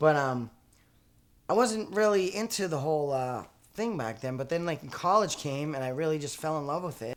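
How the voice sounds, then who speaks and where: With a slight Boston accent, a man speaks at a moderate pace. His fairly high pitch moves with lively intonation. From Boston area, Massachusetts. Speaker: actor and comedian, audience warm-up man. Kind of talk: interview.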